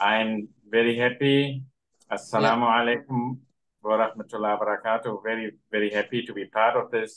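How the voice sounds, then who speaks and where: A man's medium-pitched voice at a moderate pace, monotone and flat in intonation. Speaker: native-speaker language teacher. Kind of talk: self-introduction in online meeting. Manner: halting, mixes English and Indonesian.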